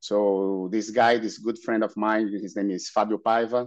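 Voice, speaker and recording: With a Brazilian Portuguese accent, a man speaks in a fairly low pitch at a moderate pace, his intonation monotone and flat against a quiet background. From Brazil, Santos. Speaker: paddler and race organizer. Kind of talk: podcast interview. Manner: halting.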